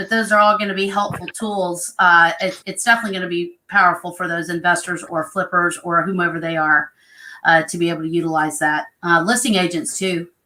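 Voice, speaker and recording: A woman speaks with an American accent at fairly low pitch. Her tone is bright and sharp. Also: fairly quick pace. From Oklahoma. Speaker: home inspection business partner. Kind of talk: live stream panel chat.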